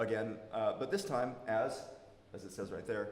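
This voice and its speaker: Amid noticeable background noise and audible room echo, a man talks at a fairly quick pace with an American accent. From United States. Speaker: academic researcher. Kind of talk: conference presentation. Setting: workshop talk with audience, amplified. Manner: loud.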